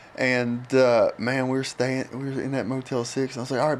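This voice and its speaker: A man speaks very fast at a medium pitch. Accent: West Virginia. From West Virginia. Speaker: chemical dependency counselor. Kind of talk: casual chat.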